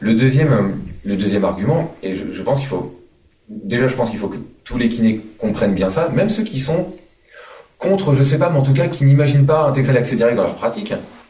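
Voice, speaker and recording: Talking at a fairly quick pace in a room with audible echo, a man with a medium pitch makes very wide pitch swings. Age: 30s. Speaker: physiotherapist and union president. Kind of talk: studio interview. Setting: live at a conference venue. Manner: halting, many repetitions.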